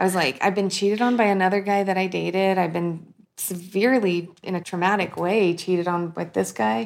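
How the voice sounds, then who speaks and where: In a plain, everyday voice, a woman talks at a fairly quick pace and medium pitch with ordinary variation, on a very clean recording with a silent background. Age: 30s. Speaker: podcaster. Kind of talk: casual chat.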